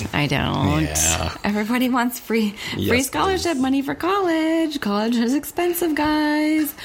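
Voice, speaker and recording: A woman talks at a moderate pace with a high pitch and very wide pitch swings. Her loudness stays very even, and there is noticeable background noise. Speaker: podcast co-host.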